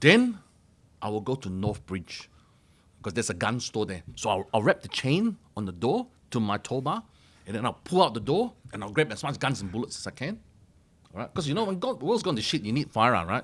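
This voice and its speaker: A loud, animated man at medium pitch with very wide pitch swings, a fairly quick pace and long, frequent pauses, on a very clean recording with a silent background. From Malaysia. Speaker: mortgage broker. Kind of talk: casual chat.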